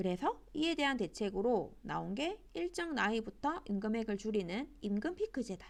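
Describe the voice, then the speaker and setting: This woman talks at a moderate pace with hardly any pauses, her fairly high voice swinging very widely in pitch. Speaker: high school teacher. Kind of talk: online class lecture.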